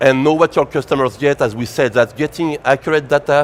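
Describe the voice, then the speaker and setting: A man speaks in a French accent at a fairly high pitch and a moderate pace. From France. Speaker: tech company presenter. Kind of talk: conference presentation.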